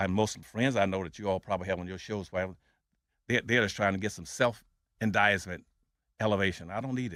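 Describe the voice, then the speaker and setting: A man with a fairly low voice talks very fast. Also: very clean recording, silent background. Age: 80s+. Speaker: former political campaign manager. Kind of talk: interview.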